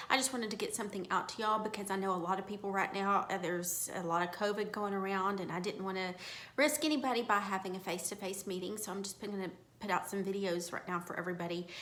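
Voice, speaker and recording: Audible room echo and noticeable background noise surround a woman speaking at a very fast pace. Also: medium pitch for a woman, fairly even intonation. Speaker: real estate broker training agents. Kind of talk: informal training talk to own agents. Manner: earnest, emphatic.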